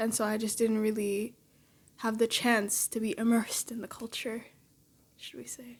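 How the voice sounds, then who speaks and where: In a Canadian accent, a woman speaks at a moderate pace with fairly high pitch, a somewhat breathy quality, monotone, flat intonation, big swings in loudness and long, frequent pauses. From Canada. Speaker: daughter. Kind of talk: casual chat.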